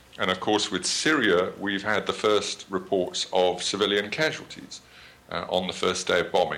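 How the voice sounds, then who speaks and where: A man with a British accent and fairly even intonation. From Britain. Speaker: journalist and author on drones. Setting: video call.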